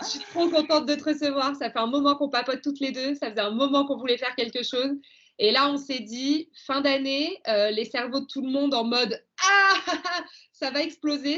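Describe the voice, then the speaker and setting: Speaking at a fairly quick pace, a woman with a high voice sounds enthusiastic and uses ordinary pitch variation. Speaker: podcast host. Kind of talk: podcast interview.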